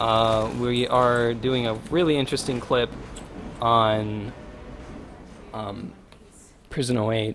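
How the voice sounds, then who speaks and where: Over noticeable background noise and audible room echo, a man speaks at a very slow pace with long, frequent pauses and fairly even intonation. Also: medium pitch for a man. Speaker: gaming streamer. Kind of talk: tutorial. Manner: casual, hesitant with fillers.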